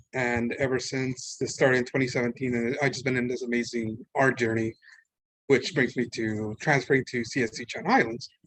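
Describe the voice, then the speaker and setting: With a Spanish accent, a man speaks fairly quickly at a medium pitch, his intonation monotone and flat. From Mexico City, Mexico. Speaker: art student. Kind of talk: public talk. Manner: casual, halting.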